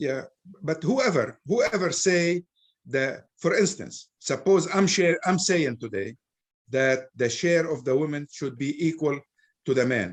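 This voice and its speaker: Slow-paced and pausing long and often, a man with an Arabic accent speaks at a fairly high pitch with lively intonation. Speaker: Islamic scholar speaker. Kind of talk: Q&A discussion.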